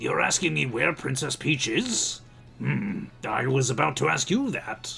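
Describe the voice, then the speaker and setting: Doing a raspy, put-on character voice at a medium pitch, a man speaks at a moderate pace over clear background noise. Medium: virtual streamer. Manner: genteel, old-fashioned, fussy.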